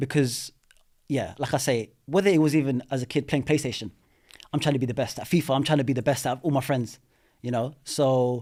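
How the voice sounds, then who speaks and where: In a London accent, a man with a dark, mellow tone and medium pitch speaks at a fairly quick pace on a very clean recording with a silent background. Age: 30s. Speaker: property investor. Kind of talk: podcast interview. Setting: studio. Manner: animated.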